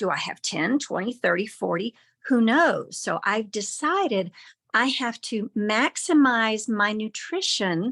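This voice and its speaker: A woman with a plain, everyday voice speaks at a fairly slow pace and a fairly high pitch with lively intonation, on a very clean recording with a silent background. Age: 60s. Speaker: program member sharing results. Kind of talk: interview.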